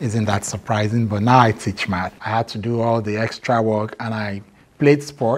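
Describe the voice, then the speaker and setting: Speaking at a moderate pace, a man with a medium pitch has a Nigerian accent. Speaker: math teacher. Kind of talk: interview.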